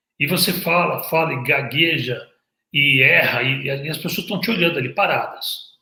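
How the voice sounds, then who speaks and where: With a bright, sharp tone and a fairly high pitch, a man speaks at a moderate pace with ordinary pitch variation. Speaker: hairdresser and visagism teacher. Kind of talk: casual talk to camera. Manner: occasional stammer and repeated words; animated.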